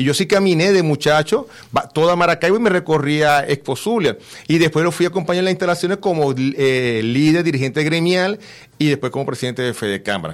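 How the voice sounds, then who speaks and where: This man has an ordinary speaking voice, pitched fairly high. His intonation is lively. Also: fairly quick pace. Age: 50s. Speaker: event organizer. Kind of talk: radio interview. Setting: radio studio.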